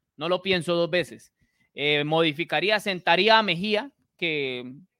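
Bright, sharp male speech with lively intonation, in a very clean recording with a silent background. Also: dry, close sound with no echo. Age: 30s. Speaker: sports podcast host. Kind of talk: casual sports talk.

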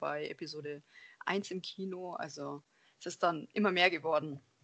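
A woman speaks in an ordinary speaking voice, her medium pitch showing ordinary variation as she keeps a moderate pace. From Germany, Allgäu (Bavarian Swabia). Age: 20s. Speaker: lab technician and cosplayer. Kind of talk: casual interview.

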